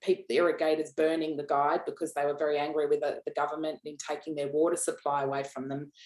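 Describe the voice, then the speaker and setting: A woman speaks in an Australian accent. Her pitch is very deep and low. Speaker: founder of an executive assistant training business. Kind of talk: podcast interview. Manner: loud; hesitant, many repeated words.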